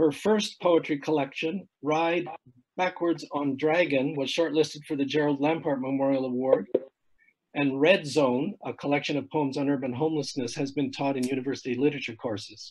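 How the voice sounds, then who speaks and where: Speaking at a moderate pace, a man uses a plain, everyday voice with fairly high pitch and fairly even intonation. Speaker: event host. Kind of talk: introducing a guest. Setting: video call.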